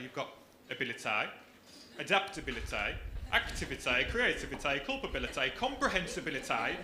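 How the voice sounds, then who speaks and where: A man with a Brummie accent speaks with very wide pitch swings. There is noticeable background noise and audible room echo. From Birmingham, England. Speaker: comedian. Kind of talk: stand-up. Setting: stage with audience.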